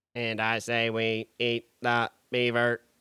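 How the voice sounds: A man uses a put-on, robotic character voice at a medium pitch. His delivery is fairly slow, with monotone, flat intonation.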